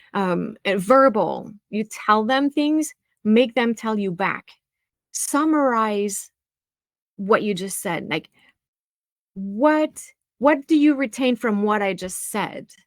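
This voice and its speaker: In a dry, close sound with no echo, a woman with a French accent speaks at a fairly high pitch with lively intonation. Her pace is very slow, with long, frequent pauses. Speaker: music teacher and practice expert. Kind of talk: webinar presentation.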